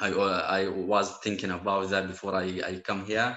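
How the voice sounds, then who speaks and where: A man with a Syrian accent speaks at a fairly slow pace and a fairly low pitch. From Syria, Aleppo. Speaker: Quran and Arabic teacher, refugee. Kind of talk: interview conversation. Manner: halting.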